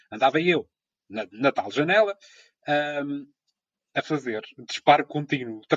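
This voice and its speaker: Delivered at a fairly slow pace with long, frequent pauses, the lively-intoned voice has a dry, close sound with no echo. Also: man, fairly high pitch for a man. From Azores, São Miguel. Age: 30s. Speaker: radio presenter and amateur photographer. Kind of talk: casual chat.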